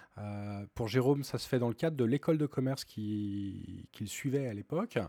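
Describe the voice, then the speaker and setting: On a very clean recording with a silent background and a dry, close sound with no echo, a man speaks at a medium pitch in a dark, mellow tone. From Rhône-Alpes, France. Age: 40s. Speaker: music association president. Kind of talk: interview. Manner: halting, frequent repetitions.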